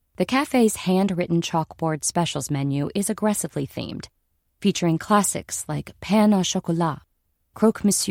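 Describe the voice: The background is still. What's heard is plain reading aloud.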